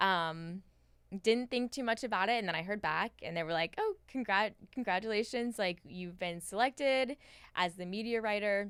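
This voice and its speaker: A woman with a normal speaking voice talks at a moderate pace, her medium pitch showing ordinary variation, on a very clean recording with a silent background. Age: 20s. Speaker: newspaper feature producer. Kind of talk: interview answer.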